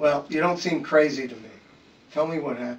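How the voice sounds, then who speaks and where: Putting on a raspy character voice, a man talks at a fairly quick pace and a fairly high pitch. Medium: audio drama. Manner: calm, measured.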